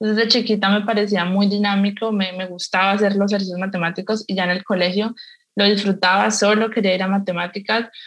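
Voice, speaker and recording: A woman at a medium pitch talks very fast in a monotone, flat delivery. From Colombia, Cali. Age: 20s. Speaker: mathematics student. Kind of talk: panel discussion.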